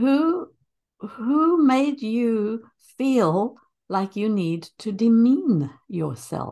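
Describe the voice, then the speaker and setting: A woman with a non-native accent, fairly high pitch, dark, mellow tone and very wide pitch swings at a very slow pace, over a quiet background. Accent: foreign. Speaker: early childhood educator and interviewer. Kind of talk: casual interview. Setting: remote call.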